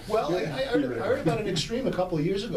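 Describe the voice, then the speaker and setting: A man with a New York accent at a very fast pace, lively intonation, noticeable background noise and audible room echo. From New York City. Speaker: business consultant. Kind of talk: radio interview. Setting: radio studio.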